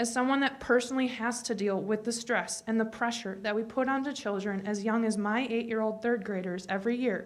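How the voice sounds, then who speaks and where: A woman's fairly high voice at a fairly quick pace, with fairly even intonation and audible room echo. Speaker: teacher speaking at public comment. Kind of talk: public comment speech. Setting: school board meeting.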